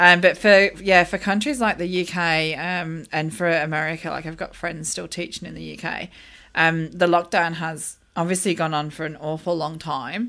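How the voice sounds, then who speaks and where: A woman with an Australian accent speaks at a moderate pace with hardly any pauses, her bright, sharp tone holding fairly even intonation while her loudness swings widely, all in a very clean recording with a silent background. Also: fairly low pitch for a woman. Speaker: teaching expert, educator. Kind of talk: casual chat. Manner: hesitant, many fillers.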